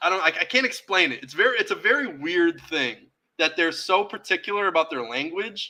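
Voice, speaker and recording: A man's high, raised, projected voice with an American accent, fairly quick pace, big swings in loudness, a bright, sharp tone and lively intonation. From Massachusetts, US (Springfield/Boston area). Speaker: podcast host and teacher/tutor. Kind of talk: casual chat.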